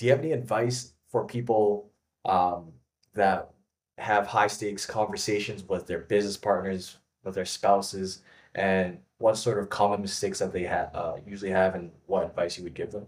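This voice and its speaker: At a moderate pace, a man with a fairly low pitch speaks in a plain, everyday voice with fairly even intonation. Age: young. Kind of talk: interview. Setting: video call.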